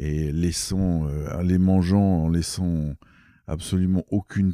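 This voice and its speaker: Very deep and low, a man's voice moves at a very slow pace with fairly even intonation. The sound is dry and close, with no echo. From Algeria. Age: 60s. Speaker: ecologist and ornithologist. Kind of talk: interview. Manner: halting, many hesitations.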